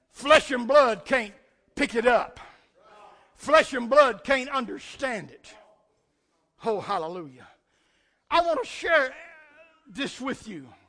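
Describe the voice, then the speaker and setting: A man uses a raised, projected voice at an extremely high pitch, with lively intonation and big swings in loudness. He talks at a very slow pace with long, frequent pauses. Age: 60s. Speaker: pastor. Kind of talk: sermon. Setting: church. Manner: animated.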